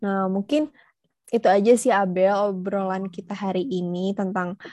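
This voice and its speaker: Against a quiet background, a woman with a dark, mellow tone speaks at a fairly slow pace in a dry, close sound with no echo. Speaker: student podcast host. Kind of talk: casual interview chat.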